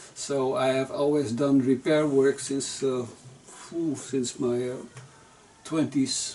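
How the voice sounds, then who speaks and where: Speaking at a very slow pace and a medium pitch, a man delivers his words in a monotone, flat intonation amid noticeable background noise. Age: 60s. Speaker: guitar repairer and musician. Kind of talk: casual explanation to visitor. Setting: home workshop. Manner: halting, many fillers.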